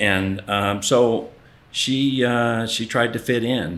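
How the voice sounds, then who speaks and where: Audible room echo surrounds the voice. A man speaks with fairly even intonation. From US, Oklahoma (Ardmore). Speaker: art collector. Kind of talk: interview. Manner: halting, many fillers.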